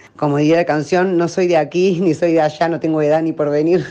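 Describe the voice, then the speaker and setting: At a fairly quick pace, a woman talks in a very deep, low pitch with a dark, mellow tone and fairly even intonation. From Córdoba, Argentina. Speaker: actress and acting teacher. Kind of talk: radio interview.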